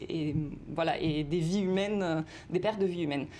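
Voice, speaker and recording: Her tone is dark and mellow, with a fairly low pitch and ordinary pitch variation. The woman speaks at a fairly quick pace. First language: Italian (speaking French). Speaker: university researcher in discourse analysis. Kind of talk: TV news interview. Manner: hesitant, many fillers.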